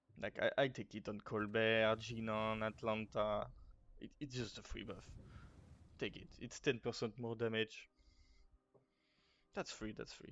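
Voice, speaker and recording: In a French accent, the speaker goes at a fairly slow pace with monotone, flat intonation and long, frequent pauses. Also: man, medium pitch for a man, big swings in loudness. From France. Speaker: gaming guide creator. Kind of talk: casual gaming tutorial talk.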